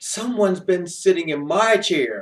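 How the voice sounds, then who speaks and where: In a put-on character voice, a man talks with a raspy, high pitch. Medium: read story.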